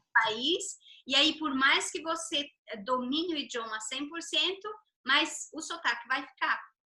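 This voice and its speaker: A woman projects a raised, high-pitched voice with a bright, sharp tone. She speaks at a fairly slow pace with ordinary pitch variation. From Brazil. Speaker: interview host. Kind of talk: video call interview.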